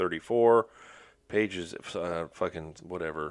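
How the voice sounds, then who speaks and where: At a moderate pace, a man with an ordinary speaking voice talks with lively intonation. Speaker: podcast host. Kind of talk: casual banter podcast. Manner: joking, sarcastic.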